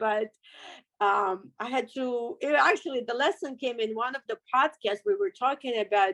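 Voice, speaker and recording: A woman speaks with lively intonation and a high pitch. The sound is dry and close with no echo. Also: moderate pace. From Russia. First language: Russian. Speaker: car accident survivor, business owner. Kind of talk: interview testimony.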